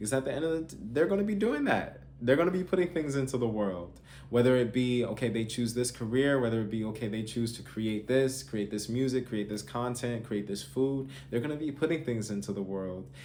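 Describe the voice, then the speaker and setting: A man's dark, mellow tone at medium pitch, a fairly quick pace with hardly any pauses, and audible room echo. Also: ordinary pitch variation. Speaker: parenting coach. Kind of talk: talking-head advice video.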